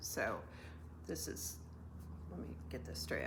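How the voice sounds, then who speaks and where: A somewhat breathy woman speaks at a moderate pace, with audible room echo around her. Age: 60s. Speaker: knitting and crafting podcaster. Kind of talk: casual craft vlog, show and tell. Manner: hesitant, many fillers.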